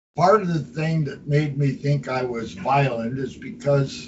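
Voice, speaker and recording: Very slowly and somewhat breathily, a man speaks in a fairly high voice with lively intonation. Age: 80s+. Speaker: citizens' assembly leader. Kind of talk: meeting talk. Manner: vehement.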